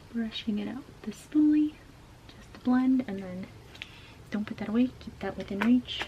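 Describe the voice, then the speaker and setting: A woman whispering, with big swings in loudness and long, frequent pauses, over noticeable background noise. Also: moderate pace. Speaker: beauty YouTuber. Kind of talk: casual makeup tutorial talk to camera. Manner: whispered.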